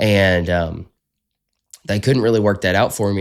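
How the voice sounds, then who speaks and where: Speaking with a strong Southern US accent, a man uses a fairly low pitch and fairly even intonation in a very clean recording with a silent background. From US South. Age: 20s. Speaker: podcast host. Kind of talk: casual interview chat.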